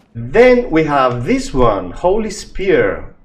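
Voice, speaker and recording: Speaking at a very slow pace, a man swings his pitch very widely amid audible room echo. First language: not English. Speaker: gaming youtuber. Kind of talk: tutorial. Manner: halting.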